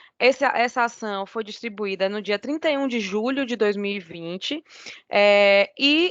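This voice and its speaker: A woman with a Bahian accent talks at a fairly slow pace. The background is quiet, and the sound is dry and close with no echo. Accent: Bahian Brazilian. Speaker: lawyer. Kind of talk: oral argument in court. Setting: video call. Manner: formal.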